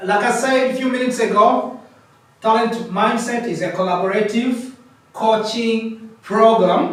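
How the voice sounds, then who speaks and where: A loud man with a high pitch speaks at a fairly slow pace with fairly even intonation, over noticeable background noise and audible room echo. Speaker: coaching program founder and facilitator. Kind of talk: presentation. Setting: in-person session with participants. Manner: halting, repetitive.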